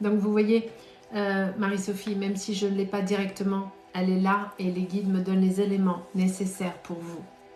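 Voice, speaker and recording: A woman's monotone, flat speech at medium pitch and moderate pace, with audible room echo and noticeable background noise. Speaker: psychic medium. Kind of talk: live stream reading. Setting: live stream.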